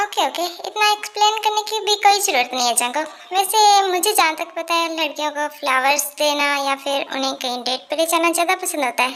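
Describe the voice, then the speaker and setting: A woman uses a put-on character voice pitched extremely high. Her intonation is lively and her pace fairly quick. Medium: read story. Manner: playful, teasing.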